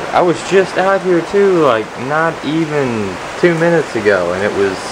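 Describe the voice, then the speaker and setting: Over noticeable background noise, a man with an American accent talks at a moderate pace and a fairly high pitch, with very wide pitch swings. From Kentucky, Winchester; Kentucky. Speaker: vlogger; daily vlogger. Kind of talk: casual vlog monologue. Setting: outdoors.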